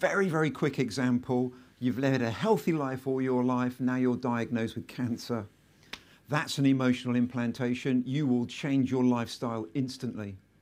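A man with a southern English accent speaks at a moderate pace, his medium-pitched voice showing ordinary pitch variation. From southern England. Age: 50s. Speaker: entrepreneur. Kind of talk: live interview and talk. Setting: stage with audience.

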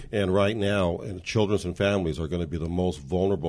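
In an American accent, a man talks very fast with a very deep, low pitch and vocal fry. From Montebello, Los Angeles area, California. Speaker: city council candidate and lawyer. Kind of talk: interview.

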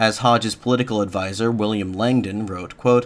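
A man talks in a normal speaking voice at a medium pitch. His pace is fairly quick and his intonation fairly even. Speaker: podcast host. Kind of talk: history documentary narration. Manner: measured, formal, even-paced.

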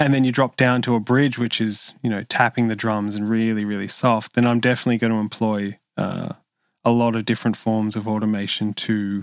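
A man speaks in a flat monotone with an Australian accent, at a medium pitch and a fairly quick pace. The recording is very clean, with a silent background. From Sydney, Australia. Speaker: session bass player and producer. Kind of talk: interview conversation.

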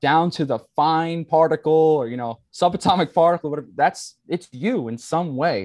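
An ordinary speaking voice comes from a man with an American accent and a fairly high pitch, speaking at a moderate pace in a dry, close sound with no echo and a quiet background. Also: ordinary pitch variation. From New York, Staten Island. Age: 20s. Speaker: spiritual teacher. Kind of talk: casual interview.

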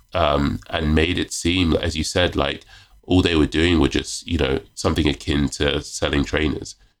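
A man speaks with a very deep, low pitch and vocal fry. His loudness stays very even and his intonation fairly even. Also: moderate pace. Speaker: magazine editor and author. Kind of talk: casual podcast interview. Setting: video call.

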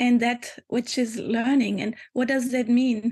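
This woman speaks with a German accent at a high pitch. Her pace is fairly slow. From Germany. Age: 50s. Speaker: spiritual teacher. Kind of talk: reflective interview.

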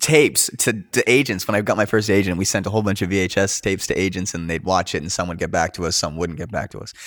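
With a Canadian accent and a fairly low pitch, a man talks at a very fast pace with hardly any pauses, in a very clean recording with a silent background. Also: ordinary pitch variation. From Canada, Coquitlam, British Columbia. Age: 30s. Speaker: actor. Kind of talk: casual interview chat.

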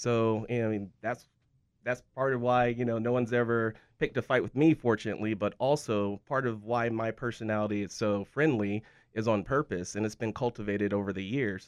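A man at a fairly quick pace, medium in pitch, with fairly even intonation over a quiet background, a normal speaking voice. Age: 40s. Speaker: martial arts instructor and gym owner. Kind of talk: casual interview.

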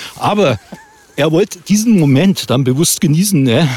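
A man talks rather slowly, his pitch rising and falling in an ordinary way. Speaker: podcast host and playwright. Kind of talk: casual chat while hiking. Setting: outdoors on a walk.

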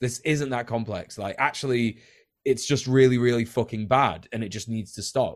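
This man speaks with a British accent. His pitch is medium and his intonation fairly even. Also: moderate pace. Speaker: podcast host. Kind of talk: casual banter and interview.

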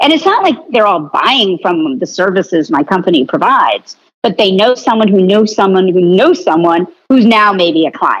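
At a moderate pace, a woman with a medium pitch speaks at very even loudness while her pitch swings very widely. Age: 50s. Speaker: marketing executive and author. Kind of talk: interview.

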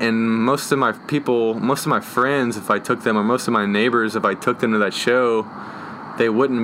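Over noticeable background noise, a man talks at a fairly quick pace in a monotone, flat intonation. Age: 20s. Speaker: graffiti artist and muralist. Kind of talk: casual interview. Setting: outdoors on a front porch.

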